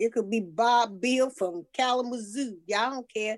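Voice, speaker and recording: A normal speaking voice from a woman, fairly high in pitch, with lively intonation and a fairly slow pace. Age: 60s. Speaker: podcast co-host. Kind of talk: casual chat.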